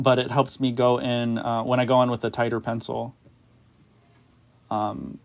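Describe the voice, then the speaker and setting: A man at medium pitch, monotone and flat in intonation, at a moderate pace with long, frequent pauses. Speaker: artist livestreamer. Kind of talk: casual livestream chat while drawing. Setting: livestream. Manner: joking role-play banter.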